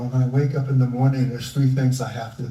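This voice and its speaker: Somewhat breathy and dark, mellow in tone, a man with an American accent speaks at medium pitch, with audible room echo. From US Northeast, Philadelphia. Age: 70s. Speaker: environmentalist. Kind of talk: live onstage interview.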